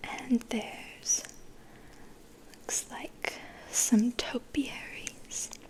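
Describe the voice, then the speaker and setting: With noticeable background noise behind it, a whisper goes very slowly. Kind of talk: ASMR picture book read-aloud, soft spoken and whispering. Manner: soft-spoken, whispering.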